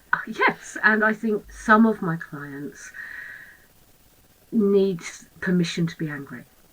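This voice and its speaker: Amid noticeable background noise, a woman of medium pitch speaks very slowly with lively intonation, big swings in loudness and long, frequent pauses. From southern England, Guildford area. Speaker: therapist. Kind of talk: casual chat.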